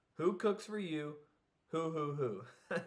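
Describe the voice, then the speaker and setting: This is a man using a put-on character voice. It sits in a fairly high register. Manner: hooting.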